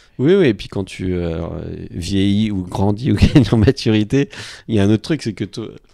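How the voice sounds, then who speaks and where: Speaking at a moderate pace with long, frequent pauses, a man uses a fairly low pitch with ordinary variation and big swings in loudness. The recording is very clean, with a silent background. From France, Normandy. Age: 40s. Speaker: sports marketing agency head. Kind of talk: casual chat. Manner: hesitant, many fillers.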